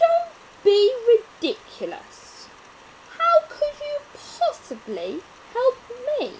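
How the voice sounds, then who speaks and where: A woman puts on a growling character voice at an extremely high pitch, speaking at a very slow pace. Long pauses come often, and background noise is clearly heard. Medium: read story. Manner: gruff, scornful.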